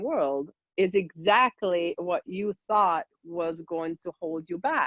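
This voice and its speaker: A woman in a Hungarian accent, her pitch fairly low. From Hungary. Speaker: guest expert. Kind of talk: casual chat.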